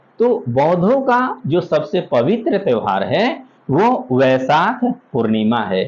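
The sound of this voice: A man's fairly high voice, slightly mellow in tone, slow, with big pitch swings.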